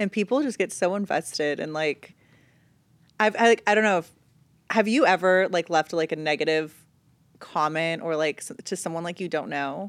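Ordinary pitch variation at a moderate pace, with long, frequent pauses and a dry, close sound with no echo. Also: woman, fairly low pitch for a woman. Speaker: reality TV personality. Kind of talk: casual chat. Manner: loud.

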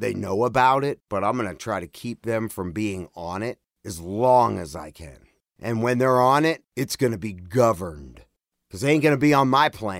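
Here is a man with a normal speaking voice, medium in pitch, at a moderate pace. His loudness swings a lot, and the recording is very clean with a silent background. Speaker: podcast host and audio producer. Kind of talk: casual chat.

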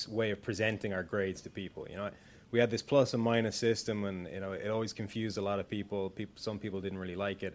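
A man with an Irish accent speaks at a fairly low pitch. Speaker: football analyst. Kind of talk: casual chat.

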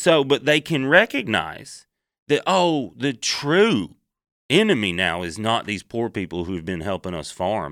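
With a Southern US accent, a man speaks at a fairly slow pace and medium pitch, his pitch swinging very widely. The recording is very clean, with a silent background. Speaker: comedian, guest co-host. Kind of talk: casual chat.

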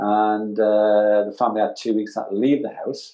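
Here a man speaks with a Geordie accent. His pitch sits fairly low. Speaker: advertising art director. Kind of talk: interview.

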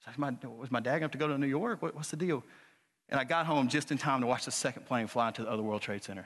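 Against a quiet background, a man with a Southern US accent talks very fast at medium pitch, animated in tone, with ordinary pitch variation. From Arkansas, US South. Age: 30s. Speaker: preacher. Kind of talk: sermon. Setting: church.

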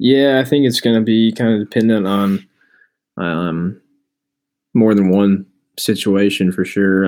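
Here a man speaks at a moderate pace in an unremarkable speaking voice. His pitch sits fairly low and varies in an ordinary way. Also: very clean recording, silent background. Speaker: podcast co-host, sports commentator. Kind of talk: casual sports talk podcast.

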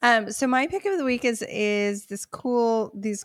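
A woman with an unremarkable speaking voice speaks at a fairly slow pace with ordinary pitch variation, in a dry, close sound with no echo and a very clean recording with a silent background. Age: 40s. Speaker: wedding photographer. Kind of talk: casual chat.

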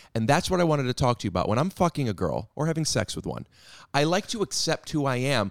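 A man speaks at a very fast pace in a fairly high pitch, with vocal fry and very wide pitch swings. The recording is very clean with a silent background and a dry, close sound with no echo. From US Midwest, Cleveland. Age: 30s. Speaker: comedian. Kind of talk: casual chat. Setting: studio.

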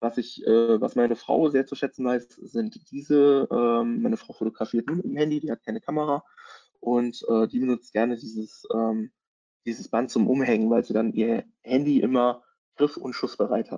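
A man speaks at a medium pitch with a dark, mellow tone. His intonation stays fairly even at a moderate pace, and the sound is dry and close with no echo. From Germany, Hesse (Taunus). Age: 30s. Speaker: content marketing consultant and photographer. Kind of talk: webinar presentation. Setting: online webinar.

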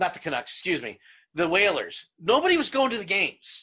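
Projecting a raised voice, a man speaks at a moderate pace in an animated tone with very wide pitch swings. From South Jersey, US. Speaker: podcast host. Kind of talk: casual chat. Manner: loud.

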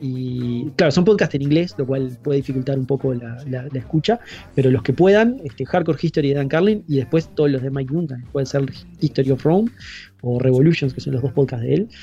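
A man with a fairly high, somewhat breathy voice talks at a fairly quick pace with ordinary pitch variation. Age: 30s. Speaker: podcaster. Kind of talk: casual chat.

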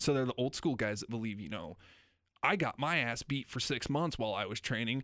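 In a very clean recording with a silent background, a man with an American accent speaks at a fairly quick pace, using lively intonation and some vocal fry. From Nebraska (Lincoln). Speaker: professional wrestler. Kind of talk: casual interview.

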